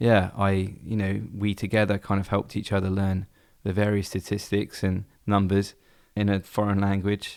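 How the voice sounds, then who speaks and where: In an English accent, a man speaks with a fairly low pitch and monotone, flat intonation at a moderate pace on a very clean recording with a silent background. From England. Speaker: baseball fan and former teacher. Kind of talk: interview.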